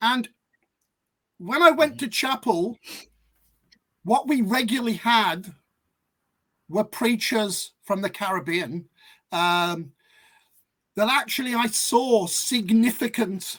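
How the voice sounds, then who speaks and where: A man talks at a very slow pace with long, frequent pauses. His pitch is high and his intonation lively. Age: 60s. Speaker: academic guest speaker. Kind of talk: panel discussion.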